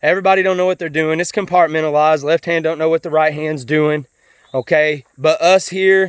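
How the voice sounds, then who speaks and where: A man with an American accent talks at a high pitch with fairly even intonation. The sound is dry and close, with no echo. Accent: sounds like a hillbilly (self-described). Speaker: vlogger. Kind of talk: casual monologue. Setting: outdoors, on a walk. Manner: halting, repeated words.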